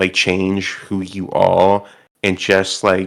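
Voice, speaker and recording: A man's fairly low-pitched voice on a very clean recording with a silent background. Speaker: reality show contestant. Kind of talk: interview. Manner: halting, stumbling over words.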